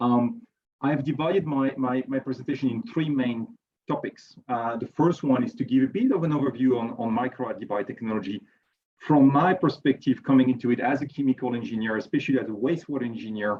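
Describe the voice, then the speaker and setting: A man speaks at a medium pitch with a strong French accent. His pace is very fast, and his pitch varies in an ordinary way. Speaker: chemical engineer and researcher. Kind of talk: conference presentation. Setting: virtual event. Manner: hesitant, many repetitions.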